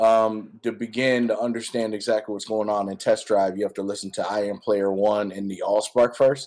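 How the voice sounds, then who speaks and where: With an American accent, a man talks in a normal speaking voice. His pitch is medium and his pace moderate. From US Midwest, Detroit, Michigan. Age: 30s. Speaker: rapper and music producer. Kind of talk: casual interview.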